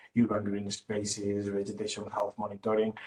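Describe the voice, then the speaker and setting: There is noticeable background noise. Through it, a man speaks at a fairly low pitch. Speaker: remote sensing project engineer. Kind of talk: webinar presentation. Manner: halting, many repetitions.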